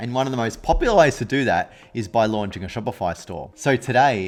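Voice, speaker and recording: Faint music plays behind a man who talks at a fairly quick pace with ordinary pitch variation. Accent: Australian. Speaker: e-commerce coach. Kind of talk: tutorial. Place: home room. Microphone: studio mic.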